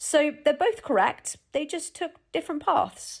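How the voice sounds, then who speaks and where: A woman speaks with a British RP accent. Her pace is fairly slow. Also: very clean recording, silent background. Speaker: English teacher. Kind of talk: language lesson to camera. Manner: friendly, casual.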